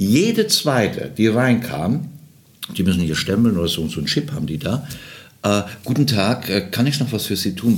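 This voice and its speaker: A man speaks with lively intonation against noticeable background noise. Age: 60s. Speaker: travel entrepreneur and charity founder. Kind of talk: casual chat. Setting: trade fair in Berlin.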